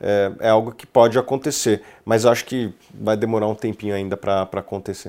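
A man with an unremarkable speaking voice and a fairly low pitch talks at a moderate pace with fairly even intonation and big swings in loudness, on a very clean recording with a silent background. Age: 30s. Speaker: investment research executive. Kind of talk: casual interview.

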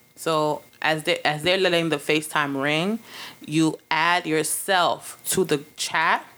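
The voice has a Brooklyn accent and an animated, bright, sharp tone. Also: woman. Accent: New York urban, Brooklyn. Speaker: podcast host. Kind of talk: casual chat, comedic banter with profanity. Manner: animated, loud, joking.

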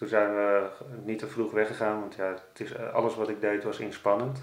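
Audible room echo surrounds a man's fairly low, monotone voice with flat intonation. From Netherlands, Amsterdam. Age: 40s. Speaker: carp angler and blogger. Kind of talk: interview. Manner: halting.

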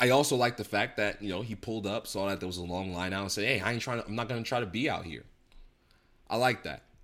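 A man talks at a very fast pace with ordinary pitch variation, on a very clean recording with a silent background. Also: fairly low pitch for a man. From New Jersey. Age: 30s. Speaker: podcast host. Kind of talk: casual commentary monologue.

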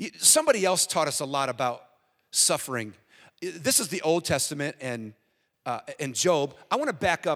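A man with an American accent and an unremarkable speaking voice talks at a moderate pace, his fairly high pitch carried by lively intonation. The recording is very clean with a silent background. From US. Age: 50s. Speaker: guest preacher. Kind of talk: sermon. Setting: church.

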